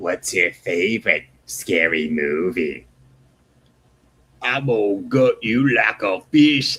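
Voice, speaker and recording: In a put-on character voice, a man speaks very slowly at a fairly low pitch, leaving long, frequent pauses. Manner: drawn out, menacing, forced.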